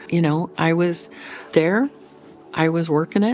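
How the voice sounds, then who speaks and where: With music in the background, a woman with an American accent speaks at a fairly slow pace with ordinary pitch variation. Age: 60s. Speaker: rancher. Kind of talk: interview answer.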